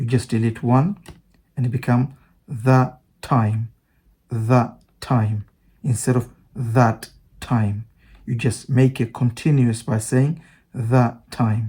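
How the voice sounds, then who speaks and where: A man with a non-native accent speaks at a very slow pace, with long, frequent pauses. His medium-pitched voice has a dark, mellow tone, a somewhat breathy quality and fairly even intonation. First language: not English. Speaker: English teacher. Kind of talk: online language lesson.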